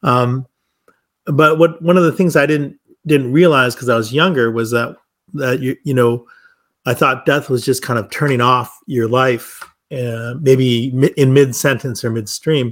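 A man with an Upper Midwest accent, at a fairly slow pace. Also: medium pitch for a man, ordinary pitch variation, very clean recording, silent background. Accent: Upper Midwest American. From US Midwest, Milwaukee. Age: 50s. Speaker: wine shop and cafe owner, former academic. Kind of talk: casual interview.

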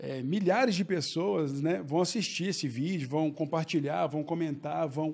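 A man with a fairly high pitch speaks at a moderate pace. His is a normal speaking voice with ordinary pitch variation. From Brazil, Belo Horizonte. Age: 40s. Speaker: entrepreneur. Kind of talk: casual interview.

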